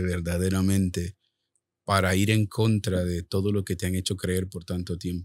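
At a fairly slow pace, a man speaks with a fairly low pitch in a dry sound with no echo. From El Salvador. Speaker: author and minister; minister. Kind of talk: testimony. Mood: earnest personal testimony. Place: studio. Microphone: studio mic.

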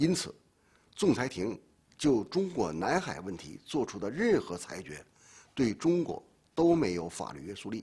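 With a dark, mellow tone and vocal fry, a man speaks at a fairly slow pace, with long, frequent pauses, very wide pitch swings, and big swings in loudness. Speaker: legal expert. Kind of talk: interview. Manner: formal. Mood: serious, firm. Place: studio.

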